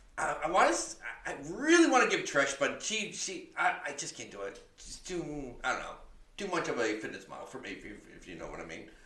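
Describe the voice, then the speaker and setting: A man speaks at a fairly quick pace with audible room echo and noticeable background noise. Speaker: podcast co-host. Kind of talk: casual chat. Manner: halting.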